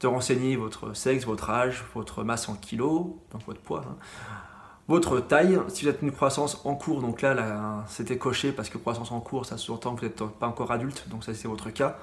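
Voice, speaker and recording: A man speaks at a medium pitch in a somewhat breathy voice with ordinary pitch variation. Audible room echo surrounds him. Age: 30s. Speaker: middle school science teacher. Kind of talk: lecture. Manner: fast; hesitant, many fillers.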